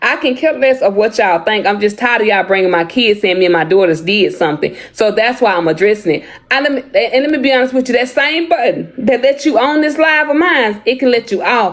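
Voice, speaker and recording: A woman's high-pitched voice at a very fast pace with hardly any pauses, very wide pitch swings and very even loudness, amid noticeable background noise. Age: 40s. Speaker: social media content creator. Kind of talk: livestream chat. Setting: live video stream.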